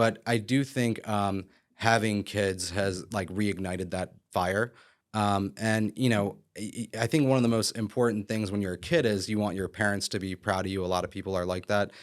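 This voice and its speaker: An ordinary speaking voice from a man with an American accent, fairly low in pitch, at a moderate pace with fairly even intonation, on a very clean recording with a silent background. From Philadelphia area, Pennsylvania. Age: 30s. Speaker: real estate broker and developer. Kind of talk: podcast interview. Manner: casual, many fillers.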